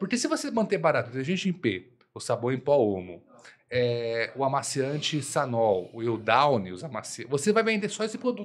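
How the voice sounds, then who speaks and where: Talking at a moderate pace, a man uses a fairly high pitch with very wide pitch swings. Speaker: supermarket consultant, co-host. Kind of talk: casual business podcast chat. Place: studio. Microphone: studio mic.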